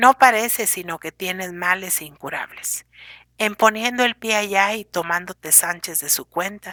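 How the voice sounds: The speaker uses a natural reading voice. Pitch variation is ordinary.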